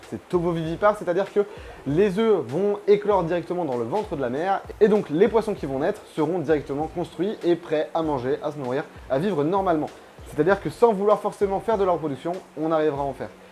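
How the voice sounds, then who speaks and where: A man with a high pitch for a man talks at a very fast pace with ordinary pitch variation. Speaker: aquarium YouTuber. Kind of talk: tutorial. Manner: casual.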